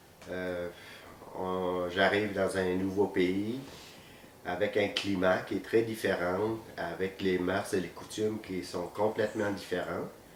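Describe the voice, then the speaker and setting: A man speaks very slowly in a very deep, low voice. His intonation is flat and monotone, and room echo is audible. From Vietnam, moved to Quebec at 14. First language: Vietnamese (speaking French). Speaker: physiotherapist. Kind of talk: interview. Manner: hesitant, many fillers.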